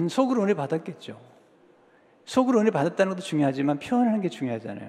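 A man speaks at a high pitch with very wide pitch swings. His pace is very fast. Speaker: pastor. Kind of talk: sermon. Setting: church. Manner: imprecise pronunciation of some sounds.

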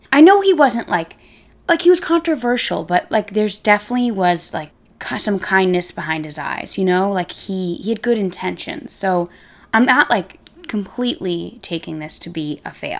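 Big swings in loudness and very wide pitch swings at a moderate pace. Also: woman, medium pitch for a woman. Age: 20s. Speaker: podcast host. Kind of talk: casual monologue. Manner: animated.

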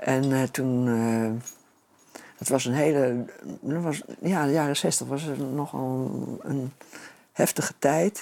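A man talks at a very slow pace with long, frequent pauses. His pitch is medium, with ordinary variation. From Netherlands, Nunspeet (Gelderland). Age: 70s. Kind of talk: interview.

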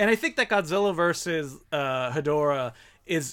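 A man with a normal speaking voice talks at a fairly slow pace, pitched fairly high with lively intonation. The recording is very clean, with a silent background. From Ontario, Canada (Franco-Ontarian). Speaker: filmmaker and film critic. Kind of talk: casual chat.

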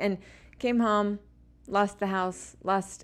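On a very clean recording with a silent background, a woman with an ordinary speaking voice talks at a fairly slow pace with fairly even intonation. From Utah. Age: 40s. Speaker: scrapbooking product designer. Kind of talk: casual chat. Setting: hotel room.

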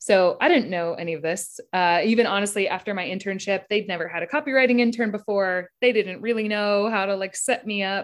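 A woman with a normal speaking voice at medium pitch, ordinary pitch variation and a fairly quick pace, on a very clean recording with a silent background. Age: 30s. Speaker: advertising copywriter. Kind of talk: casual chat.

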